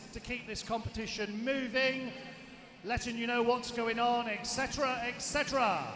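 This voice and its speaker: A man's raised, projected voice at an extremely high pitch, fairly even in intonation and moderate in pace, with audible room echo and noticeable background noise. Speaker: event announcer. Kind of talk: live PA announcements. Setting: indoor swimming pool PA system. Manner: loud.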